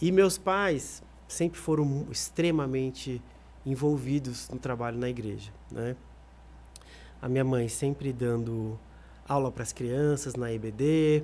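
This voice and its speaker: This man talks at a very slow pace with long, frequent pauses. His pitch is medium, and it varies in an ordinary way. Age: 30s. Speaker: singer. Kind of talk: podcast interview.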